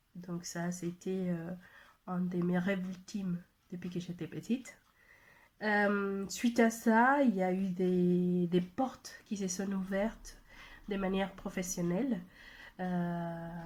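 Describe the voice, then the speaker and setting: At a very slow pace with long, frequent pauses, a woman speaks at a medium pitch in a somewhat breathy voice with fairly even intonation, recorded very cleanly against a silent background. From Mexico. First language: Spanish (speaking French). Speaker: language trainer and translator. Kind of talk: personal testimony video message. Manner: halting, many hesitations.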